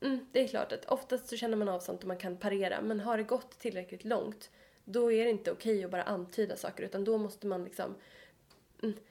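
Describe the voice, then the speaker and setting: Her tone is dark and mellow, with a fairly high pitch. The woman talks at a fairly quick pace with fairly even intonation. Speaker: podcast co-host, psychology student. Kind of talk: casual chat. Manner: fast.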